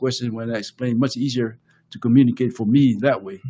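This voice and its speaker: Speaking at a fairly quick pace with a Samoan accent, a man uses a medium pitch, a dark, mellow tone and fairly even intonation. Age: 60s. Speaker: podcast co-host and author. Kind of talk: casual conversation. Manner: halting.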